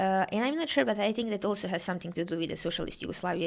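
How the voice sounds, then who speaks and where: A woman speaks at a medium pitch with a Serbian accent. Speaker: guest researcher discussing protests. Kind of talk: podcast interview. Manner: halting, many fillers.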